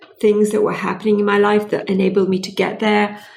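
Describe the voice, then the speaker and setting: A woman's medium-pitched voice at a very fast pace, with audible room echo. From Britain. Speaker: clean tech entrepreneur. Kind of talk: interview.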